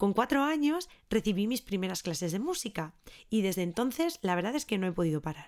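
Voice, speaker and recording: The recording is very clean, with a silent background. A woman of medium pitch speaks at a moderate pace with very wide pitch swings. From Spain, Ávila. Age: 30s. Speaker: podcast host and early music educator. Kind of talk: scripted monologue.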